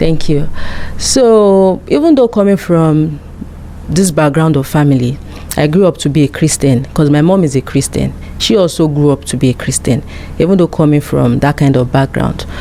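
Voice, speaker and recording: A woman speaks with a very deep, low pitch and very even loudness. Noticeable background noise can be heard. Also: ordinary pitch variation, moderate pace. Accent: Nigerian. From Nigeria (Yoruba). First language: Yoruba. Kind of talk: interview.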